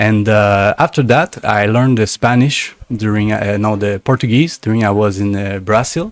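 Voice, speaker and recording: A man with a French accent speaks at a moderate pace with hardly any pauses and a fairly low pitch. The sound is dry and close, with no echo. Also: ordinary pitch variation. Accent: French-speaking accent in English. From Canada, French-speaking. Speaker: shaman, plant medicine healer. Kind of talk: interview. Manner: halting, searching for words.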